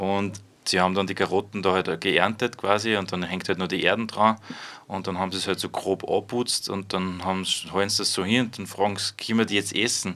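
The tone is bright and sharp, delivered at a moderate pace. The intonation stays monotone and flat. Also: man, fairly low pitch for a man. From Upper Austria, Freistadt. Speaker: youth centre worker and gardening project member. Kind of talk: interview.

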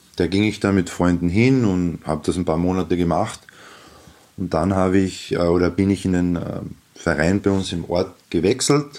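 Very deep, low male speech, moderately paced and with ordinary pitch variation. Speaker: basketball coach and teacher. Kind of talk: radio interview answers.

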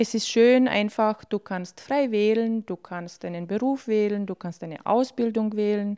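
In a very clean recording with a silent background, a woman speaks at a fairly slow pace and medium pitch, her tone dark and mellow, with ordinary pitch variation. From Bosnia, raised in Austria from childhood. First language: Bosnian (speaking German). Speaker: refugee, interviewee. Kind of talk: personal testimony.

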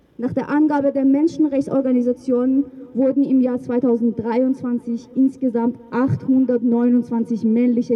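A woman speaks in a high voice with fairly even intonation over noticeable background noise. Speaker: rally speaker. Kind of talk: rally speech, reading a statement. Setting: outdoors at demonstration. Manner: formal, earnest, indignant.

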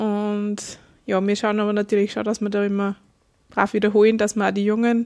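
A woman's fairly high voice with a dark, mellow tone, at a fairly quick pace. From Upper Austria, Kirchdorf an der Krems. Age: 30s. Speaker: folk dancer, farmer and bookkeeper. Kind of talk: casual interview. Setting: wine bar.

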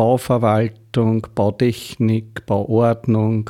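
Recorded very cleanly over a silent background, a man speaks with a Lower Austrian accent. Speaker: mayor and energy pioneer. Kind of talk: radio interview.

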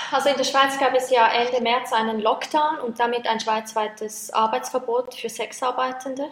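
The speech moves at a moderate pace with hardly any pauses, in a monotone, flat intonation. Noticeable background noise runs underneath. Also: woman, high pitch for a woman. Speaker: project leader at sex worker advocacy network. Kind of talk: interview.

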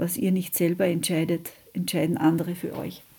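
This woman's voice has a dark, mellow tone and a fairly low pitch. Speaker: radio host, anti-nuclear activist. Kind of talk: radio magazine presentation, reading statements aloud.

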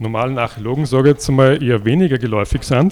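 Medium pitch in a man's speaking voice. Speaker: archaeology society chairman. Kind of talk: event introduction speech.

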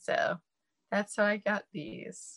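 Recorded very cleanly against a silent background with a dry, close sound and no echo, a woman with an American accent speaks at a very slow pace. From US East Coast and Midwest, mixed. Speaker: burlesque performer. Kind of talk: casual interview.

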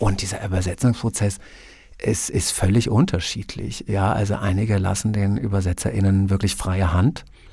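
At a moderate pace, a man speaks in a flat monotone with a fairly low pitch and a dark, mellow tone. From Germany (Prussia/north-east). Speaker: book blogger. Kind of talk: interview.

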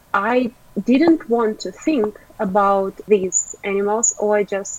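A woman at a medium pitch and a very slow pace, with ordinary pitch variation, against noticeable background noise. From Ukraine. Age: 20s. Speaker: animal rights activist. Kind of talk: interview.

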